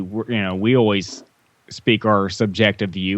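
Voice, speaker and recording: A man with an unremarkable speaking voice at a moderate pace, his intonation fairly even. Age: 20s. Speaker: guest podcast host. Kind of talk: casual chat.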